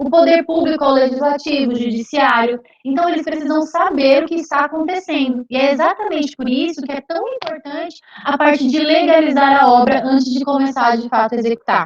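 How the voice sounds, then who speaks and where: Her voice high, a woman talks at a fairly quick pace with ordinary pitch variation. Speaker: civil engineer. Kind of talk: lecture. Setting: video call. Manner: fast.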